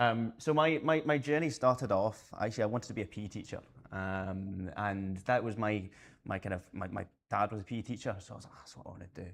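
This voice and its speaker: Talking at a very fast pace, a man with a Scottish accent has a fairly low pitch. His pitch variation is ordinary, but his loudness swings widely. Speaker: conference speaker, space sector adviser. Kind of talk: conference talk. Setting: stage with audience. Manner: hesitant, many fillers.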